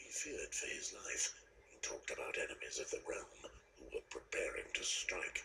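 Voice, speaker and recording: A man's put-on character voice at a moderate pace, against clear background noise. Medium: video game. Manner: gruff, terse.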